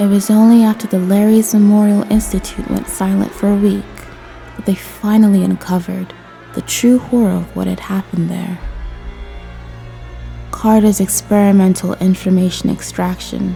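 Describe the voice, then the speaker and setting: Moderate pace over background music. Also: woman. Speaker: voice actor. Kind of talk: immersive horror game lore narration.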